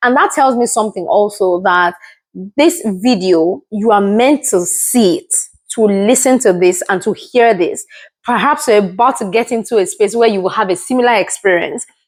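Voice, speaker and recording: A woman with a Yoruba accent speaks at a fairly high pitch with lively intonation on a very clean recording with a silent background. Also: moderate pace. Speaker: motivational video creator. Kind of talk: motivational talk to camera.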